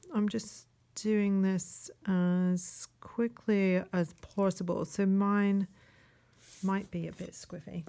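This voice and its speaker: Soft-spoken, a woman talks at a very slow pace with a medium pitch and a dark, mellow tone. Her intonation stays fairly even. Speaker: online art teacher. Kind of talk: casual drawing tutorial. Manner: trying to speak softly.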